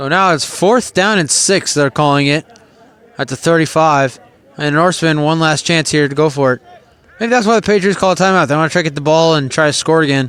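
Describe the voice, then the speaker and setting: Over noticeable background noise, a man speaks at a fairly quick pace, his fairly high pitch showing ordinary variation. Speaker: sports play-by-play announcer. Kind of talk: live commentary. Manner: conversational, opinionated asides.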